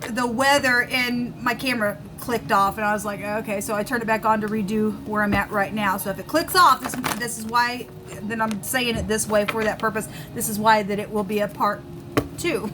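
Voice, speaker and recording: Over noticeable background noise, the speech moves at a fairly quick pace with ordinary pitch variation. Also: woman, fairly high pitch for a woman. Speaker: tarot reader. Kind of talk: tarot reading. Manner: halting.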